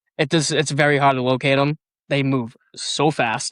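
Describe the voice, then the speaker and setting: In a Boston accent, a man speaks at medium pitch with fairly even intonation. The recording is very clean, with a silent background. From Boston, Massachusetts. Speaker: amateur astrophotographer. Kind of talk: casual chat.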